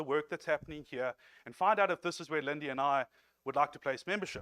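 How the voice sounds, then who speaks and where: A man with a South African accent, fairly high-pitched and very fast, in dry, close sound with no echo. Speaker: lay preacher. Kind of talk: sermon. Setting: church.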